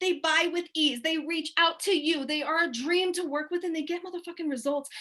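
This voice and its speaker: A woman speaks at a fairly quick pace in an animated tone. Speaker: business coach. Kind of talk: webinar presentation. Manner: fast.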